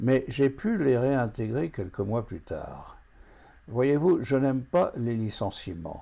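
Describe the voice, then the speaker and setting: A man speaks very slowly in a dark, mellow tone with lively intonation. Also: medium pitch for a man. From France. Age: 80s+. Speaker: retired forecasting consultant, association founder. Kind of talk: scripted address to camera.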